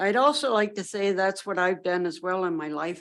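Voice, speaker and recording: A woman with a Canadian accent and an ordinary speaking voice talks at a moderate pace and a medium pitch. Her pitch variation is ordinary, and the recording is very clean with a silent background. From southwestern Ontario, Canada. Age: 60s. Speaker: municipal council candidate. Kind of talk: candidate interview statement.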